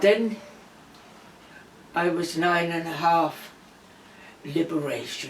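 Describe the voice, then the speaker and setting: Amid noticeable background noise and audible room echo, a woman with a fairly low pitch speaks very slowly, with fairly even intonation and long, frequent pauses. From Denmark. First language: Danish. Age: 80s+. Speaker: interviewee recalling wartime childhood. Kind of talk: personal testimony.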